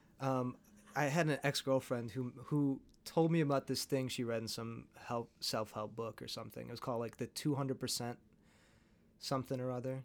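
A man speaks with a normal speaking voice at a medium pitch and fairly even intonation, at a fairly quick pace. The recording is very clean, with a silent background. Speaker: host's partner. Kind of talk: casual chat.

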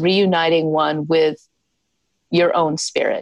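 A woman speaks with an American accent. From US South, South Carolina. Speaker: scientist and founder of a healing research initiative. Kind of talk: interview. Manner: conversational with fillers.

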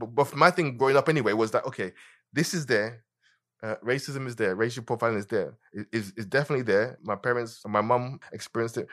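A man at a medium pitch and a very fast pace with ordinary pitch variation, in a very clean recording with a silent background. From Nigeria (Lagos), born in London. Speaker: musician. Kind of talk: interview. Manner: repeats words, hesitant restarts.

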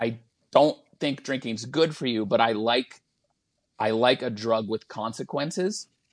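Speaking at a fairly slow pace against a quiet background, a man has a normal speaking voice at a medium pitch with ordinary pitch variation. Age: 40s. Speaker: stand-up comedian. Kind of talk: casual chat.

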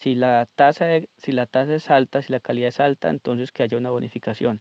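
A man with a Colombian accent talks at a fairly quick pace and a medium pitch, his intonation fairly even. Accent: Colombian Spanish (Huila). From Colombia, Pitalito, Huila. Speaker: coffee farmer. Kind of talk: voice memo testimony. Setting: recorded voice memo. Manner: halting.

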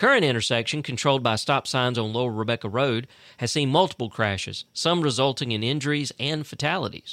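A man with a Southern US accent talks very fast, barely pausing, in a bright, sharp, medium-pitched voice with ordinary pitch variation. The recording is very clean, with a silent background and a dry, close sound free of echo. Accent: Southern US (Georgia). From US South, South Central Georgia (Fitzgerald). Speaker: local news podcast host. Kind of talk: news reading.

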